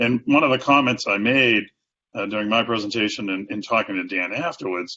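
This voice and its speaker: This man talks at a fairly quick pace in an American accent. His pitch sits in the medium range and varies in an ordinary way. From Boston. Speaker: sales and marketing executive. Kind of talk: interview answer.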